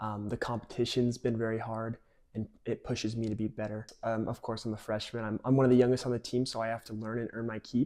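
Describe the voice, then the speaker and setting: Speaking very fast with a Utah accent, a man keeps a monotone, flat intonation. His pitch is medium and his tone is dark and mellow. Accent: General American, Utah. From Utah, Cedar Hills. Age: 20s. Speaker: college soccer player. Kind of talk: interview.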